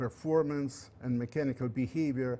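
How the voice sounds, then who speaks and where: With a Russian accent, a man speaks at a medium pitch. His tone is dark and mellow, and his intonation stays fairly even. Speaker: engineering professor. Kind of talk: lecture. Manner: halting.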